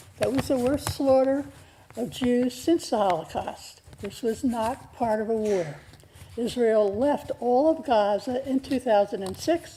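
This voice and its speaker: Mumbling at a fairly slow pace, with lively intonation. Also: woman, high pitch for a woman. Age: 90s. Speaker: public commenter. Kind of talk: public comment speech. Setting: city council meeting. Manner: emotional.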